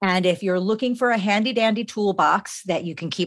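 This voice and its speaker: With ordinary pitch variation and a moderate pace, a plain, everyday voice comes through on a very clean recording against a silent background. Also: woman. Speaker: podcast host. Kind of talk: interview, conversational.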